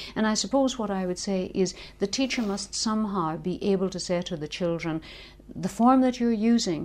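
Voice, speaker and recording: A woman speaks with a strong Northern Irish accent. Her pitch is medium and her pace moderate. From Northern Ireland. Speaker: linguistics lecturer. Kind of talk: interview.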